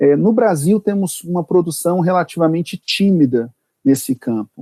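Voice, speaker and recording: Recorded with a dry, close sound and no echo, a man with a high pitch and dark, mellow tone talks at a moderate pace with lively intonation. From Brazil, Brasília. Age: 40s. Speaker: prosecutor and law professor. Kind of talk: podcast interview. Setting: remote recording.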